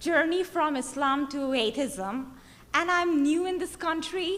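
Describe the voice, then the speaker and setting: A woman with a high pitch speaks at a fairly slow pace, with audible room echo. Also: ordinary pitch variation. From Bangladesh. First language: Bengali. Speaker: activist. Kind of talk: conference speech. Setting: stage with audience. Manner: halting.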